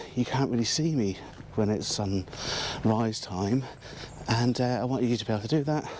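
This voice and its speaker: In an English accent, a man talks at medium pitch with ordinary pitch variation over noticeable background noise. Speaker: landscape photographer. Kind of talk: vlog narration. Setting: outdoors.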